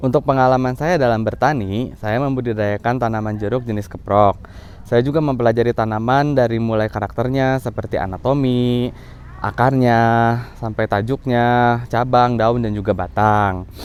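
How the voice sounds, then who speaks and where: At a medium pitch and a moderate pace, a man talks with fairly even intonation. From West Java, Bandung Regency. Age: 30s. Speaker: farmer. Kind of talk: self-presentation video for program application. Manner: formal.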